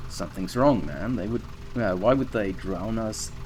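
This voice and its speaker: A man's voice with ordinary pitch variation, plus audible room echo and noticeable background noise. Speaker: environment artist doing level design walkthrough. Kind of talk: game walkthrough commentary. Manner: speaking louder than usual; casual, thinking aloud.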